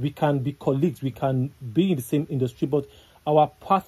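The voice has a dark, mellow tone and is somewhat breathy. Intonation stays fairly even at a moderate pace. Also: man. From Nigeria. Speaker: entertainment news analyst. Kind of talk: casual chat. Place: studio. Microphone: studio mic.

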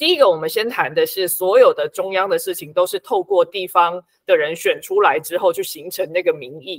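A woman talks at a fairly quick pace with hardly any pauses and big swings in loudness. The background is quiet and the sound is dry, with no echo. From Taiwan. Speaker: book editor and local activist; guest. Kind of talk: interview. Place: home room.

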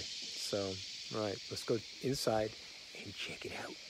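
A man's voice is dry with no echo, while loud background noise fills the recording. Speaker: traveler vlogger. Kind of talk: casual vlog chat. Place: open country. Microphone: phone near.

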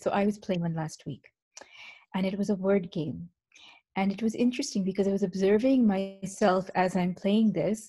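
A woman's somewhat breathy voice, dark and mellow in tone, at a fairly quick pace against a quiet background. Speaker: presenter. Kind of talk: lecture. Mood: reflective, warm. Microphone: video call.

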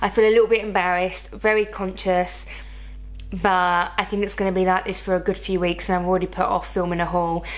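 A woman talks at a fairly quick pace in a fairly low pitch. Her pitch moves very little.

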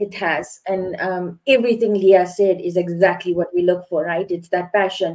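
A woman speaks in a monotone, flat way with a dark, mellow tone. Her pace is moderate over a quiet background. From South Africa. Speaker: security hiring manager; panelist. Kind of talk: panel discussion. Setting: video call. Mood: encouraging, earnest. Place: home room. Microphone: video call.

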